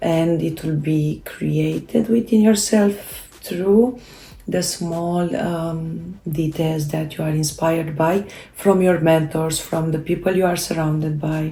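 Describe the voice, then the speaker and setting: A woman talks at a very slow pace with a Romanian accent and a fairly low pitch. Noticeable background noise sits under her voice. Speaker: self-help video creator. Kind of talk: casual talk to camera. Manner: halting, many fillers.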